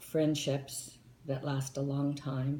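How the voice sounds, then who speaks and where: Over audible room echo, a woman speaks at a very slow pace in a very deep, low pitch. Her voice is somewhat breathy, with a dark, mellow tone. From southern California (Anaheim), early childhood in Tennessee. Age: 60s. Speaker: interviewee, retired flight attendant. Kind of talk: interview.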